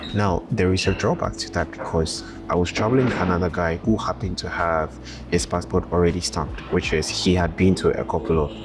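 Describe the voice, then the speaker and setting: A man speaks at a fairly quick pace in a very deep, low voice with lively intonation, music playing in the background. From Ghana. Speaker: travel vlogger. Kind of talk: vlog monologue. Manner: casual, with fillers.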